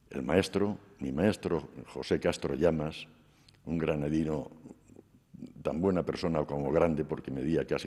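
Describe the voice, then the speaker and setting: At a fairly slow pace, a man talks in a very deep, low pitch with a dark, mellow tone and vocal fry. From Spain, Cuenca province. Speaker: sculptor. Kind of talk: interview during museum tour. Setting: museum.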